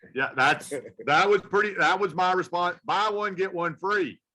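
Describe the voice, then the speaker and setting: A man with an American accent speaks in a raised, projected voice at a moderate pace. His pitch is high, his tone bright and sharp, and his pitch varies in an ordinary way. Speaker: veterinarian. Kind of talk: casual panel discussion. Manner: animated, with frequent restarts and fillers.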